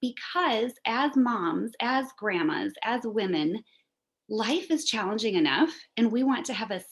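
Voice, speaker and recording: A woman with a fairly high pitch and very wide pitch swings. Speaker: essential oils seller. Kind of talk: presentation. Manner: fast.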